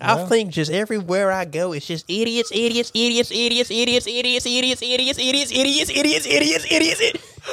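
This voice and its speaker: This man's voice sits extremely high for a man and swings very widely in pitch. He speaks in a raised, projected voice with a bright, sharp tone. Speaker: guest. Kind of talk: casual chat.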